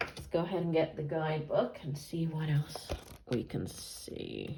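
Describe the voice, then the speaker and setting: Speaking at a very slow pace, a woman uses a very deep, low pitch. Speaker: tarot reader. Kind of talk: tarot reading. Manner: casual, thinking aloud.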